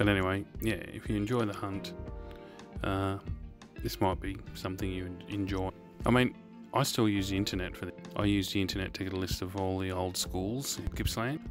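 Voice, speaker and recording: Clear music plays behind a man with a very deep, low pitch. He talks at a fairly quick pace with ordinary pitch variation in a dry sound with no echo. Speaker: urban explorer vlogger. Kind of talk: casual vlog chat.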